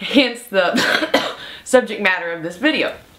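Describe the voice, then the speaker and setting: A woman's voice in very wide pitch swings, amid noticeable background noise. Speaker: nurse and preparedness video host. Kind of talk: instructional vlog talk.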